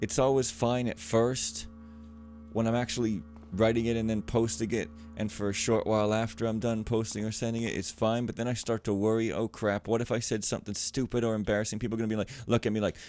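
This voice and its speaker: Over music in the background, a man talks at a fairly quick pace, his pitch medium with ordinary variation. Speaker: let's play gamer. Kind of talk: casual gameplay commentary. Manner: casual, rambling.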